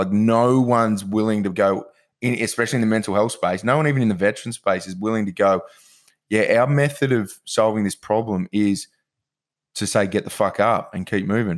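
At a fairly quick pace, a man with an Australian accent speaks with a fairly low pitch and ordinary pitch variation in a very clean recording with a silent background. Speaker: podcast host. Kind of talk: casual chat.

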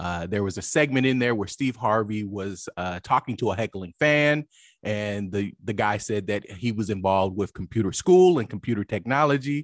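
A normal speaking voice with an American accent moves at a moderate pace with hardly any pauses and ordinary pitch variation. The sound is dry and close with no echo, against a quiet background. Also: man, fairly low pitch for a man. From Oklahoma (Lawton). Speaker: lawyer, cybersecurity expert. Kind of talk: interview.

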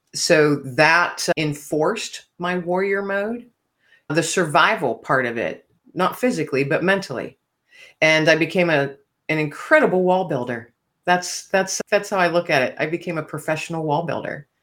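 Speaking at a moderate pace with ordinary pitch variation, a woman uses a plain, everyday voice pitched fairly low. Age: 50s. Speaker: author and podcast host. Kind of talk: interview.

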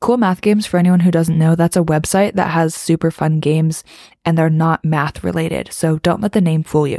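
A woman talks at a fairly quick pace in a fairly low pitch with a dark, mellow tone. Her intonation stays fairly even, and the sound is dry and close with no echo. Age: young. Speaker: podcast host. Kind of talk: casual solo monologue.

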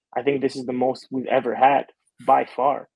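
A man speaks at a moderate pace in a medium-pitched voice. His intonation is flat and monotone. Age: young. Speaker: professional soccer player. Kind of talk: interview.

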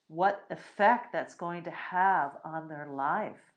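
This woman talks at a very slow pace, her voice sitting at a medium pitch. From United States, Puerto Rican and Spanish family. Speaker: podcast host, spiritual teacher. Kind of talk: solo podcast monologue, live. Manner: hesitant, many fillers.

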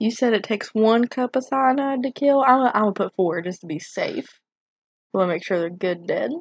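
A woman with a plain, everyday voice and a fairly high pitch speaks at a fairly quick pace with lively intonation over a quiet background. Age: 20s. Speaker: podcast co-host. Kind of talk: casual chat.

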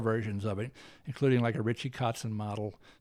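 An unremarkable speaking voice moves at a fairly quick pace with fairly even intonation, in a very clean recording with a silent background. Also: man. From US South. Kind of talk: interview.

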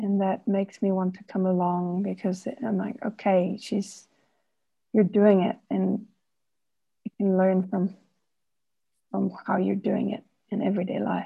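Delivery is fairly slow, with long, frequent pauses. The intonation stays monotone and flat. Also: woman, medium pitch for a woman. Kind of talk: group exercise discussion. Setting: video call.

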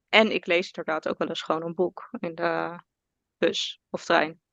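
A woman's bright, sharp voice moves in fairly even intonation, recorded dry and close with no echo over a quiet background. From Netherlands, South Holland (Alphen aan de Rijn). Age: 20s. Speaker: orthomolecular adviser and entrepreneur. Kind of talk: casual interview chat.

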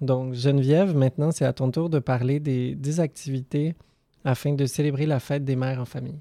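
Recorded with a dry, close sound and no echo, a man speaks at a moderate pace and fairly high pitch, his dark, mellow tone delivered in a flat monotone. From French-speaking Switzerland. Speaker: podcast columnist.

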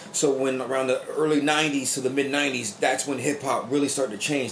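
Noticeable background noise sits behind a man at medium pitch. He talks at a very fast pace with fairly even intonation. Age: 30s. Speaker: podcast host. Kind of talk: casual chat.

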